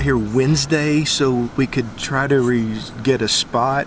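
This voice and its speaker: Noticeable background noise behind a man with a medium-pitched voice. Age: 40s. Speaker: RV travel vlogger. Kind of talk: casual vlog chat.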